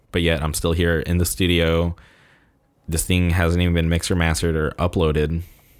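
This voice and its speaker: Speaking at a moderate pace, a man with a Californian accent has a very deep, low pitch. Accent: Californian American. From Southern California, La Quinta near Palm Springs. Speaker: podcast host. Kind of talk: casual solo monologue. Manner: slight stutter; casual, filler-heavy.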